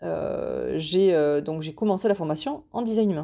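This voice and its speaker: This woman's tone is dark and mellow, with ordinary pitch variation. The recording is very clean, the background silent. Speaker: podcast host. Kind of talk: casual monologue podcast. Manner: fast; halting, many fillers and repetitions.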